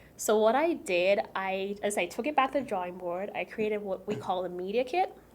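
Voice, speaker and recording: With a Caribbean accent, a woman at medium pitch speaks at a fairly quick pace with lively intonation amid noticeable background noise. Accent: Caribbean accent, by her own account. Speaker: food and travel content creator. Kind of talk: interview conversation. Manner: casual, many fillers.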